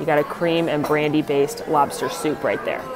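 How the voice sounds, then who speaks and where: Faint music sits in the background. A woman speaks at a moderate pace. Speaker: food vlogger. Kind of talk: casual vlog chat. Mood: excited, delighted. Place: cafe. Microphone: phone near.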